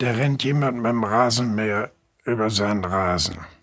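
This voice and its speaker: The man's fairly slow speech shows ordinary pitch variation, heard against noticeable background noise. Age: 80s+. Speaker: journalist and novelist. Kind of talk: interview.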